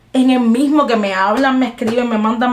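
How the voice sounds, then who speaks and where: Music plays in the background. The speaker's intonation is fairly even. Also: woman. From Cuba. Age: 20s. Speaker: jazz singer-songwriter. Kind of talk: interview answer. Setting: video call.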